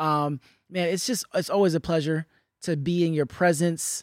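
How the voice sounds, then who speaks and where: In a very clean recording with a silent background, a man talks at a moderate pace in an ordinary speaking voice, fairly high in pitch, with fairly even intonation and a dry, close sound with no echo. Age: 30s. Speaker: podcast host and artist. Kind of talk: interview conversation; scripted intro.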